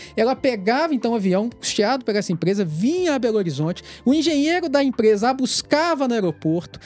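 A man's extremely high-pitched voice at a very fast pace, with very wide pitch swings and very even loudness. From Minas Gerais, Brazil (Itabira). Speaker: federal police investigator. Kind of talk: podcast interview.

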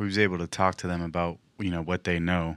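Very deep, low male speech at a fairly quick pace, bright and sharp in tone, monotone and flat, on a very clean recording with a silent background. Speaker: military member. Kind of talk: casual chat.

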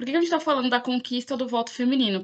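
The woman's voice is an unremarkable speaking voice, fairly high in pitch, and its pitch varies in an ordinary way. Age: 20s. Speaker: podcast host. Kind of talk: casual chat.

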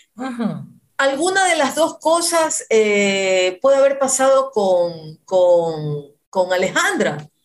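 A woman's fairly high voice with very wide pitch swings, very even loudness, and a very slow pace. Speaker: radio host. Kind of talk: casual chat.

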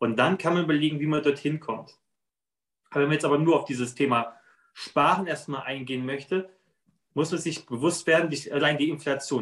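A man with a plain, everyday voice, fairly high in pitch, with fairly even intonation and a fairly quick pace. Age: 30s. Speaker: financial planner and former soldier. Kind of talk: interview.

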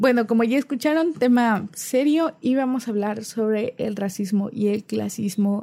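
The voice is somewhat breathy, with a dark, mellow tone and ordinary pitch variation at a fairly slow pace. The recording is very clean, with a silent background. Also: woman. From Cozumel, Quintana Roo, Mexico. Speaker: podcast host, literature student. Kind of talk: casual chat.

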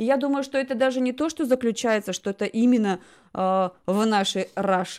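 A woman's high-pitched voice at a moderate pace, with ordinary pitch variation, on a very clean recording with a silent background. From Russia. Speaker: talk show host. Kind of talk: casual chat.

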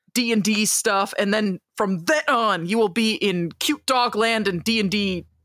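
A woman speaks in a plain, everyday voice, pitched fairly high with ordinary pitch variation. The sound is dry and close, with no echo. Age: 20s. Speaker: podcast host and writer. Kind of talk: casual chat.

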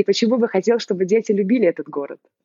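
Lively intonation in a woman's voice of medium pitch. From Belarus. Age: 30s. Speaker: mother living abroad. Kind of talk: interview. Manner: animated.

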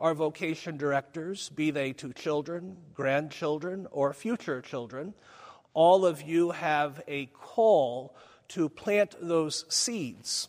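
Speaking very slowly in an American accent, a man uses a fairly high pitch with ordinary pitch variation. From US Midwest, Springfield, Missouri. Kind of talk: conference talk. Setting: conference hall with live audience.

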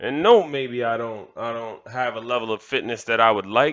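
With an American accent, a man speaks in an unremarkable speaking voice at medium pitch and a moderate pace. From Miami, Florida (Kendall). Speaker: motivational podcaster. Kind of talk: motivational monologue.

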